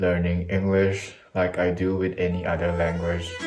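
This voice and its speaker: With music in the background and audible room echo, a man with a non-native accent speaks at a fairly slow pace in a very deep, low voice. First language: not English. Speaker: YouTuber, language learning. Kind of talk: casual vlog monologue.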